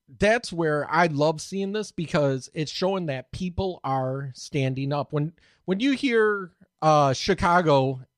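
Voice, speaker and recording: Heard in a dry, close sound with no echo, a man has a plain, everyday voice at a fairly high pitch with ordinary pitch variation. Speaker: podcast co-host. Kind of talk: casual chat.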